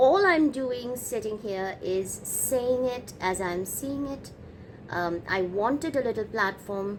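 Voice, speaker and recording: Lively intonation marks a woman's fairly high voice with a non-native accent. She speaks at a very slow pace. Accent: noticeable foreign. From other side of the world from North America. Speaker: YouTube reaction commentator. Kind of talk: reaction commentary. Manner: calm, measured; hesitant, many fillers.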